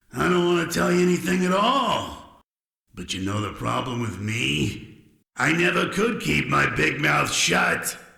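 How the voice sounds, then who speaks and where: A man's put-on character voice, fairly high in pitch, at a moderate pace with audible echo. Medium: video game. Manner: sullen, grumbling.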